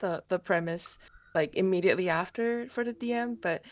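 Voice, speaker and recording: Speaking at a fairly low pitch, a woman keeps her intonation fairly even. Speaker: writing workshop participant. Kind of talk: critique feedback in group call. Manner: halting, many fillers.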